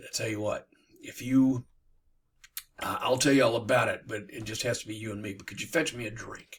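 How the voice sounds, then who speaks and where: A raspy, put-on character voice moves at a fairly quick pace with long, frequent pauses, fairly even intonation and big swings in loudness. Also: man, medium pitch for a man. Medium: read story. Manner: smooth, persuasive.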